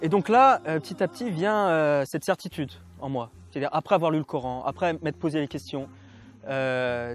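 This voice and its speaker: Music plays in the background while a man talks at a fairly quick pace. His pitch is fairly high, with ordinary pitch variation. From France. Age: 20s. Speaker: convert to Islam. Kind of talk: interview testimony. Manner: halting.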